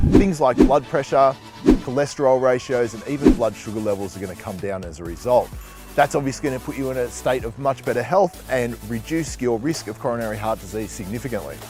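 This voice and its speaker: Music plays in the background as a man speaks at a fairly quick pace with ordinary pitch variation. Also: medium pitch for a man. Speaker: fitness trainer. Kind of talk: health explainer.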